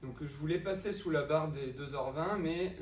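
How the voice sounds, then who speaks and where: The voice shows ordinary pitch variation. Audible room echo and noticeable background noise fill the recording. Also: man. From southern France, Avignon. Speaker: marathon runner. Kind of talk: interview.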